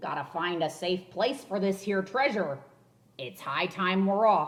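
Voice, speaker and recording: Loud and fairly slow, a female-sounding put-on character voice holds a middle pitch. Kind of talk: pirate dialect. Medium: read story. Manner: loud, hollering.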